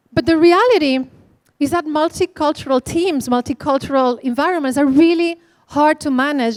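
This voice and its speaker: A woman with a Spanish accent and a high pitch, ordinary pitch variation, on a dry, close recording with no echo. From Spain. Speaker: conference speaker. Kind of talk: keynote talk. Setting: stage with audience.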